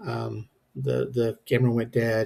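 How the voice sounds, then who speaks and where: A man's dark, mellow, somewhat breathy voice. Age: 50s. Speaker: home gym lifter. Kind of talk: workout voice-over narration. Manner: casual, hesitant, many fillers.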